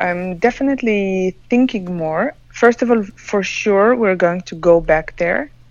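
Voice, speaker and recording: Speaking at a fairly slow pace with hardly any pauses, a woman has fairly high pitch and lively intonation. Background noise is noticeable. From Israel. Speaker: pilgrim. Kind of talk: casual chat. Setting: phone call.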